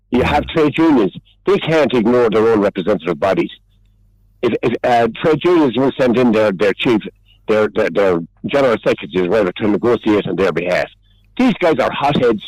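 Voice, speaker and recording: A man with an Irish accent speaks at a medium pitch, fairly quickly and with lively intonation. His loudness stays very even, and the sound is dry and close with no echo. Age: 70s. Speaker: regular radio contributor. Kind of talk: heated debate. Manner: animated; halting.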